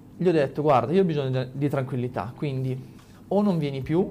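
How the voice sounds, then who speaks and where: A man with a fairly high pitch and a dark, mellow, somewhat breathy tone speaks at a moderate pace with lively intonation. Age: 20s. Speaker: motorcycle racer. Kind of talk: casual chat.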